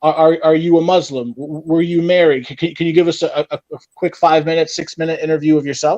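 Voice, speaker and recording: A man talks very fast with hardly any pauses, his fairly high voice monotone and flat, in a dry, close sound with no echo. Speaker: channel host, interviewer. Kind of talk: interview. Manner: hesitant, many fillers; loud.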